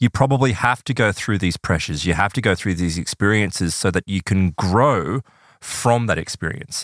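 With a plain, everyday voice, a man speaks at a moderate pace in a fairly low pitch with lively intonation, in a dry, close sound with no echo on a very clean recording with a silent background. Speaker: podcast co-host. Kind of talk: casual chat.

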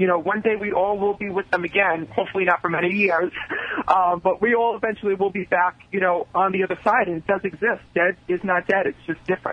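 Against noticeable background noise, a man talks at a very fast pace. His pitch is high and his intonation fairly even. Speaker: psychic medium. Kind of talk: live psychic readings for callers. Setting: phone call. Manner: fast talker.

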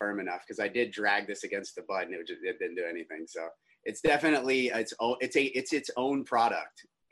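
At a moderate pace, a man talks in a plain, everyday voice at a medium pitch. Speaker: cannabis grower. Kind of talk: casual panel chat.

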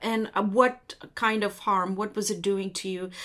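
A woman speaks at a medium pitch and fairly slow pace in a very clean recording with a silent background. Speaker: interviewer host. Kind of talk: interview. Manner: hesitant, filler-heavy.

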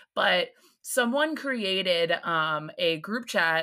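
The woman's tone is bright and sharp. Her pitch sits in the medium range. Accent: American. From US East Coast. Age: 20s. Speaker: podcaster and grad student. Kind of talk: casual chat.

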